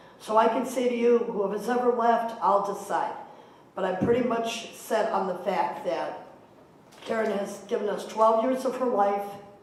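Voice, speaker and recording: Room echo and noticeable background noise surround a woman's fairly high voice. She speaks at a moderate pace with fairly even intonation. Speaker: mayoral candidate. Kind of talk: political debate answer. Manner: loud.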